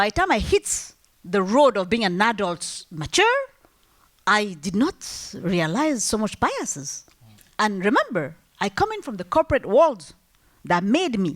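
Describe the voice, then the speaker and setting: A woman speaks in a French accent. Her pitch swings very widely. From Algeria, multilingual upbringing. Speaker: entrepreneur, business owner. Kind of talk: panel discussion. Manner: halting, many fillers and restarts.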